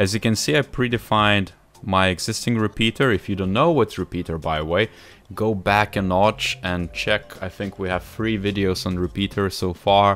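Faint music plays in the background as a man speaks at a moderate pace. His pitch is fairly low, with ordinary variation. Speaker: software tutorial host. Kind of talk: tutorial.

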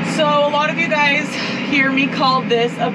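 Through loud background noise, a woman talks at a fairly slow pace with ordinary pitch variation. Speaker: farmer vlogger. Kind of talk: casual vlog chat. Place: farm machine. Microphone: phone near.

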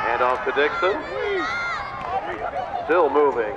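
A man speaking at a very slow pace over loud background noise. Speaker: high school football PA announcer. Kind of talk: live football play-by-play PA call. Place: stadium.

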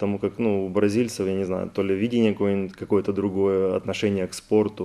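A man talks fairly quickly with hardly any pauses. His fairly low voice has a dark, mellow tone and monotone, flat intonation. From Ukraine, Kherson region. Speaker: Olympic rower. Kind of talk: studio interview. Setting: TV studio.

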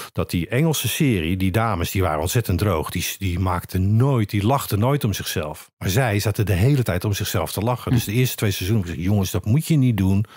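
Somewhat breathy and lively in intonation, the voice moves at a fairly quick pace with hardly any pauses in a very clean recording with a silent background. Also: man, fairly low pitch for a man. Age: 60s. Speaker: actor. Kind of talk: casual chat. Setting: studio.

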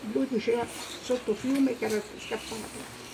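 The voice moves at a fairly slow pace in a flat monotone, over noticeable background noise. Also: woman. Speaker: witness. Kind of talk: personal testimony speech. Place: street.

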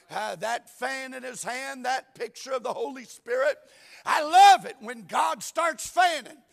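A man with a Southern US accent, lively intonation and a fairly slow pace, against a quiet background. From US South. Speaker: pastor. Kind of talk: sermon. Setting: church. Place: church. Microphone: lapel.

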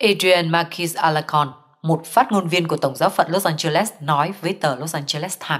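A woman uses a normal speaking voice, fairly low in pitch with ordinary pitch variation. She talks at a fairly quick pace with hardly any pauses. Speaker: news reader. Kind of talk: news reading.

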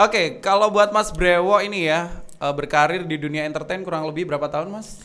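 Bright and sharp in tone and animated, a man's high voice rushes at a very fast pace with hardly any pauses and ordinary pitch variation. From East Java, Indonesia. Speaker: podcast host. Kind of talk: casual chat. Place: studio. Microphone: studio mic.

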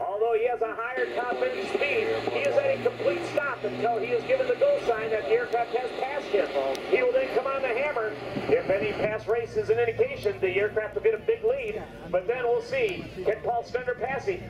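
A man talks at a fairly quick rate while loud background noise plays. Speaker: airshow announcer. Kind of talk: commentary. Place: open country.

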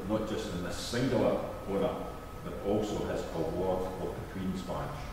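A man with low pitch speaks at a moderate pace and fairly even intonation. Audible room echo and clear background noise surround him.

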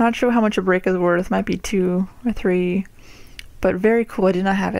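Heard at a moderate pace, the quiet voice comes through with a dry sound, no echo and light background noise. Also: woman. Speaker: card collector. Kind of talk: casual talk to camera, card pack opening. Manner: quiet, hushed. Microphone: phone near.

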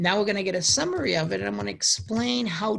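A Boston accent on a very clean recording with a silent background. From US Northeast, Boston. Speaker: university lecturer. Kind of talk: lecture. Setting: home recording during quarantine. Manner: halting.

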